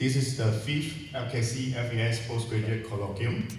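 Strong room echo surrounds a man's voice. His intonation is fairly even, with light background noise. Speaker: event organizer host. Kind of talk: welcome speech. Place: hall.

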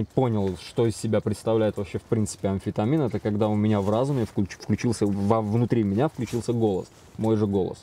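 The sound is dry with no echo. A man speaks at a fairly low pitch in a dark, mellow tone. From Azerbaijan, Baku. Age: 30s. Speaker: recovering drug addict in rehab. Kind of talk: interview testimony. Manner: halting, filler-heavy. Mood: confessional, reflective. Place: home room.

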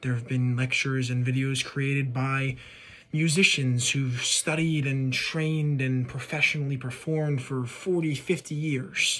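A man talks at a fairly slow pace with fairly even intonation. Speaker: music video creator. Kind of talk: casual vlog chat. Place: home room. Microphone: phone near.

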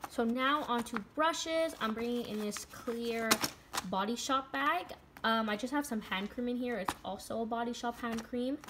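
A woman with a high pitch and ordinary pitch variation speaks over noticeable background noise. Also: moderate pace. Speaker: beauty vlogger. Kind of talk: casual vlog chat. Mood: enthusiastic. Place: home room. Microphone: phone near.

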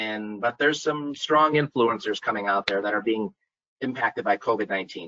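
A man with an American accent, ordinary pitch variation and a moderate pace, against a quiet background. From US Midwest (Minnesota). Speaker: site selection consultant; panelist. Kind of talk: webinar presentation. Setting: video call webinar. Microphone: video call.

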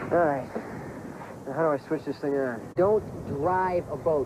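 Noticeable background noise runs under a dry sound with no echo. A man with a fairly high voice speaks at a fairly slow pace. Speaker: screen actor. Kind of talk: TV drama scene. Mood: playful, confident, flirting. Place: boat.

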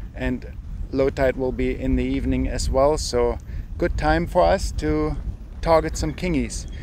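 Over light background noise, a man talks at a moderate pace in a dry sound with no echo. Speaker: fishing channel host. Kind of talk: tutorial. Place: beach.

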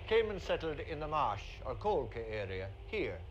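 A man with a Cork accent speaks at a moderate pace over light background noise. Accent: Cork Irish. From Cork, Ireland. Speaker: actor. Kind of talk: 1970s documentary narration, wry humorous talk on accents. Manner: dry, wry, humorous; animated, playfully mimics accents. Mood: wry, humorous. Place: waterside.

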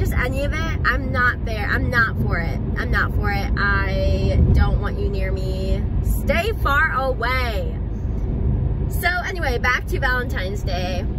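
Loud background noise sits under a woman's voice. She speaks at a fairly slow pace in a dry recording with no echo. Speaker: vlogger. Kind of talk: casual storytime vlog chat. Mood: animated, amused storytelling. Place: car. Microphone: phone near.

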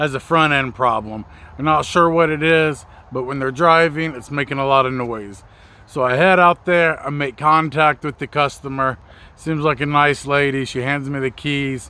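A man talks at a moderate pace with fairly even intonation, in a dry sound with no echo. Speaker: mobile mechanic vlogger. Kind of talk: casual vlog storytelling. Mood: frustrated, wry. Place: garden. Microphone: phone near.

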